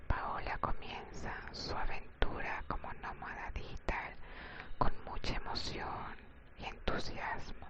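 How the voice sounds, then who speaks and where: Someone whispers very slowly amid noticeable background noise. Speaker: ASMR channel host and story reader. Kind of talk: whispered ASMR story reading; sleep-oriented relaxation reading. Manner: whispered, soft.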